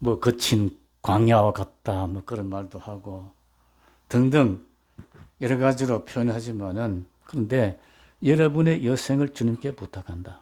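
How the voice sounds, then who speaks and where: Slow-paced and dark, mellow in tone, a man talks with ordinary pitch variation. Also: very clean recording, silent background. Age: 80s+. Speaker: pastor. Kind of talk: sermon. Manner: conversational, with fillers.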